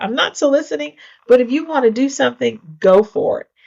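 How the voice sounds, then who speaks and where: With an American accent and lively intonation, a woman speaks at a moderate pace in a plain, everyday voice. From rural United States. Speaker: mayor and real estate entrepreneur. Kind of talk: interview answer.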